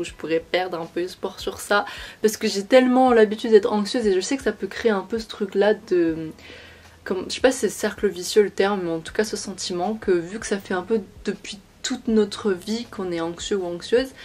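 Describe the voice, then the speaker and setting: A woman speaks at a fairly quick pace in a medium pitch, her loudness swinging widely while her pitch varies in an ordinary way. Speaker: beauty and lifestyle youtuber. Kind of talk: casual chat. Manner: fast.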